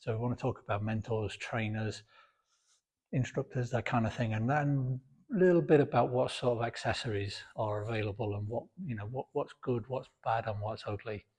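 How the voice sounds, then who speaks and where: Against a quiet background, a man talks at a moderate pace in a somewhat breathy voice with ordinary pitch variation. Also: medium pitch for a man. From Britain. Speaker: fitness video creator. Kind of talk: informal talk to camera. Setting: home gym. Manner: varying pace, sometimes quiet; halting, repeats words.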